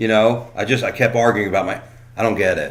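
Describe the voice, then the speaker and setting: With an American accent, a man of medium pitch talks at a fairly quick pace, and audible room echo surrounds his voice. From South Florida. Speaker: comedian. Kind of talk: casual chat.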